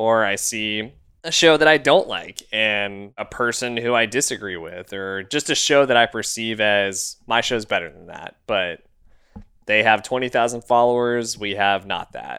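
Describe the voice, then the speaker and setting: On a very clean recording with a silent background, a man of medium pitch speaks at a fairly slow pace in a bright, sharp tone, with ordinary pitch variation and big swings in loudness. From Texas. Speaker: podcast co-host and runner. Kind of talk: casual interview. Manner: animated, enthusiastic.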